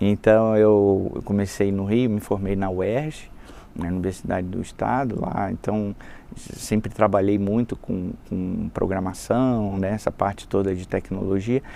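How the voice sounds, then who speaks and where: This man has a dark, mellow tone and a fairly low pitch. He talks at a fairly slow pace with fairly even intonation. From Brazil, Rio de Janeiro. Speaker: sales and marketing executive. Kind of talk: casual interview chat.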